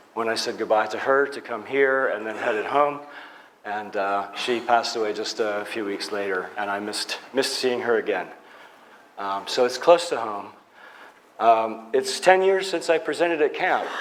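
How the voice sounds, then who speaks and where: An American man talks at a moderate pace with lively intonation and a medium pitch. Audible room echo surrounds his voice. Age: 60s. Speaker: energy efficiency consultant. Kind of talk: conference talk. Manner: halting, many fillers.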